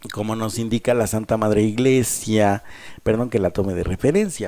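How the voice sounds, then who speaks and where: A man with a dark, mellow tone, medium pitch and ordinary pitch variation speaks at a fairly slow pace in a very clean recording with a silent background. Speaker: radio host. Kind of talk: radio talk on emotional wellbeing.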